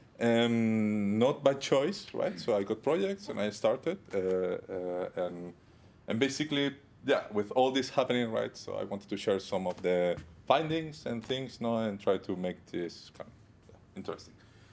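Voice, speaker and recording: A man's medium-pitched voice with a strong non-native accent, lively intonation, big swings in loudness and a moderate pace. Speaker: iOS developer. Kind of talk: conference talk. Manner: halting, many fillers.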